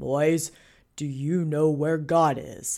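A booming, put-on character voice sits at a middle pitch, recorded very cleanly against a silent background.

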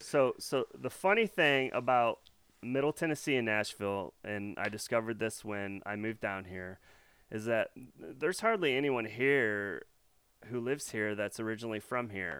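Here a man speaks in a Midwestern American accent at a medium pitch. His pace is moderate and his pitch variation ordinary. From US Midwest, north central Illinois. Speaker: local podcast host. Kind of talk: interview.

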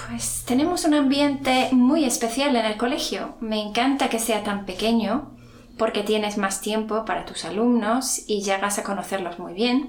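A woman's fairly high pitch with ordinary pitch variation, at a fairly slow pace over noticeable background noise. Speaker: secondary school teacher. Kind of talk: interview. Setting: school.

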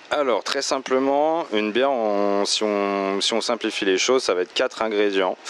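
With hardly any pauses and very even loudness, a man speaks at a moderate pace in a fairly low voice with ordinary pitch variation. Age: 30s. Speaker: beer shop owner. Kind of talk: interview. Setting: in his shop. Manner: hesitant with fillers.

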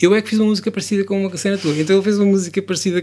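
A man talks with fairly even intonation. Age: 40s. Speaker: songwriter and musician. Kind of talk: interview.

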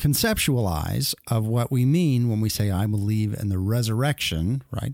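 On a very clean recording with a silent background, a man speaks in an unremarkable speaking voice at medium pitch, with ordinary pitch variation and a moderate pace. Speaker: radio host. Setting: studio. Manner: conversational, upbeat and self-deprecating, with frequent filler 'uh' and false starts.

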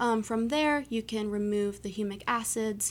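A woman with an unremarkable speaking voice talks at a moderate pace. The recording is very clean, with a silent background. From US East Coast. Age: 20s. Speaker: anthropology graduate student. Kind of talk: interview.

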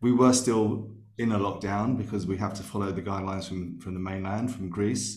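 A man with a London accent speaks at a fairly quick pace with a fairly low pitch, fairly even intonation and vocal fry. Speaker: sound therapist. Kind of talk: casual chat. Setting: remote call.

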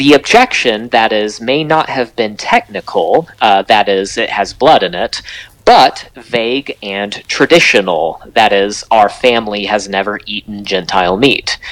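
A man with an unremarkable speaking voice talks in a fairly low pitch with ordinary pitch variation. His pace is fairly slow, with hardly any pauses. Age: 30s. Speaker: author and Bible teacher. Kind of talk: interview.

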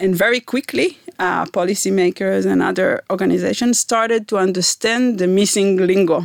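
A woman with an Israeli accent talks at a moderate pace with hardly any pauses and very even loudness. The sound is dry and close, with no echo. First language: Hebrew. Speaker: environmental scientist, professor. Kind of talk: interview. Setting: studio.

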